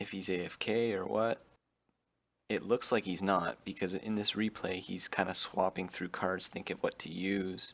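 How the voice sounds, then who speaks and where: Soft-spoken, a man talks in a very deep, low voice. He keeps a flat, monotone intonation at a moderate pace. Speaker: gaming youtuber. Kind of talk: gameplay commentary. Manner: soft-spoken, under breath.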